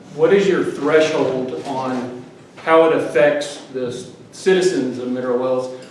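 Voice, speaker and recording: A man with an American accent speaks at a fairly slow pace, his pitch medium and its variation ordinary. Noticeable background noise and audible room echo are present. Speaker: audience member asking questions. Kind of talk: audience question at candidate forum. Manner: loud.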